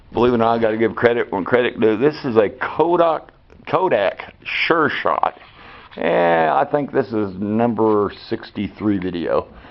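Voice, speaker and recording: Talking at a moderate pace, a man with an Arkansas accent and a medium pitch uses lively intonation. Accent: Southern US (Arkansas). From Arkansas, US South. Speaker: amateur car repair vlogger. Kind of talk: casual DIY tutorial chat. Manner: halting, many fillers.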